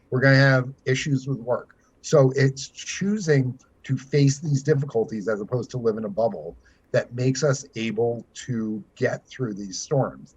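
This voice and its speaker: With ordinary pitch variation and a moderate pace, the voice comes across somewhat breathy. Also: man. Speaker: financial planner and author. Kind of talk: podcast interview. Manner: animated.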